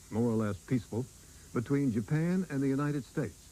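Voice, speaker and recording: Lively intonation runs through the man's dark, mellow tone. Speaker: TV news anchor. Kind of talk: TV news introduction.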